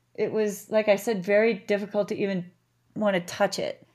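On a very clean recording with a silent background, a woman with an American accent speaks at a moderate pace, her fairly high voice carrying a dark, mellow tone. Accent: Canadian-sounding vowels, Boston roots. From Massachusetts (Boston area). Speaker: restaurant owner and rock climber. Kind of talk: interview, personal story.

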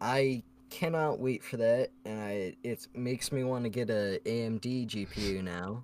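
With a normal speaking voice, a man speaks at a fairly slow pace, using a medium pitch and ordinary pitch variation. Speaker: podcast co-host. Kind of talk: casual chat.

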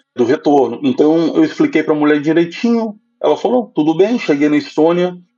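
Using an ordinary speaking voice, a man talks fairly quickly at a fairly high pitch, with lively intonation and very even loudness. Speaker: finance professional living abroad. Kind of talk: casual chat.

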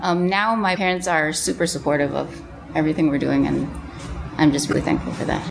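A woman with an American accent talks at a fairly quick pace. Noticeable background noise can be heard. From mixed: Canada, California, Taiwan, Hong Kong. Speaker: missionary. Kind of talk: casual chat. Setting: church office.

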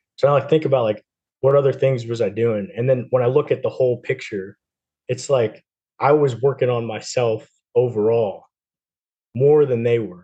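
A man with an American accent speaks at a moderate pace and medium pitch, his tone dark, mellow and somewhat breathy. His intonation stays fairly even, broken by long, frequent pauses. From New Jersey. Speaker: navy sailor and coach. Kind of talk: casual interview.

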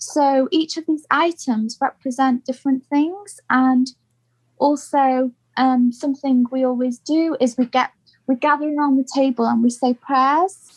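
With a British accent, a woman speaks at a fairly slow pace in a high pitch. Her loudness is very even, her intonation fairly even, and the sound is dry and close with no echo. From UK. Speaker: podcast guest. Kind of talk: casual interview.

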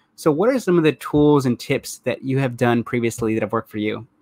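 With an American accent, a man speaks in an unremarkable speaking voice at a fairly high pitch and fairly quick pace, with ordinary pitch variation and a dry, close sound with no echo. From United States. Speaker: podcast host. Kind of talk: interview.

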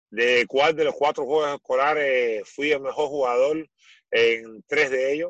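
In a dry, close recording with no echo, a man with an unremarkable speaking voice talks at a fairly slow pace with ordinary pitch variation. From Cuba. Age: 40s. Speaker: former volleyball player. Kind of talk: interview.

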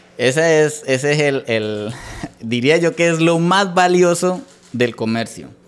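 Noticeable background noise sits under a man speaking very slowly at a fairly high pitch with lively intonation. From Colombia, Santander (Bucaramanga). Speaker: entrepreneur, electronics repair business owner. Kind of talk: interview.

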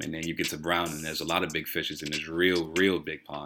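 Over background music, a man with an American accent talks at a very fast pace. His pitch is very deep and low, and his intonation monotone and flat. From Chicago, US Midwest. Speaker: college student. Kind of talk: casual chat, welcome talk to freshmen.

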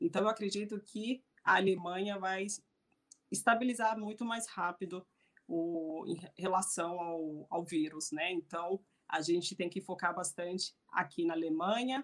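A normal speaking voice moves at a fairly slow pace with ordinary pitch variation. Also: woman, medium pitch for a woman. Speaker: hospitality consultant. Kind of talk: online panel talk.

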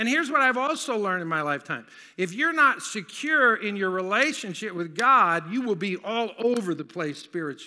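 A man speaks in a raised, projected voice, high-pitched and bright and sharp in tone, at a fairly quick pace with very wide pitch swings and hardly any pauses. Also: quiet background. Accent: American. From US South. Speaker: pastor. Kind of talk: sermon. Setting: church.

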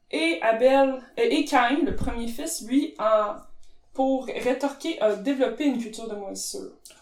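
Amid noticeable background noise and audible room echo, a woman with a high pitch speaks at a fairly slow pace, her intonation lively and her loudness swinging widely. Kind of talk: casual chat.

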